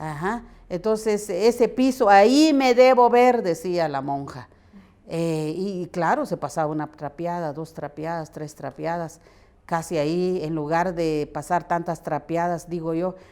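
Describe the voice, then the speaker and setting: At a fairly slow pace, a woman with a fairly low pitch and a dark, mellow tone speaks with lively intonation. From San Juan Comalapa, Guatemala. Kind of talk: interview answer.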